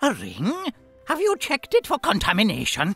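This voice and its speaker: A put-on character voice moves at a moderate pace with faint music in the background. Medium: video game. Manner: excitable, rambling.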